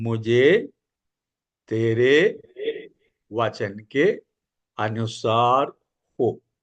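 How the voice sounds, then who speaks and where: A man with a Malayalam accent, in a dry, close sound with no echo. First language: Malayalam (speaking Hindi). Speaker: evangelist. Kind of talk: Bible study teaching. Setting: church prayer meeting.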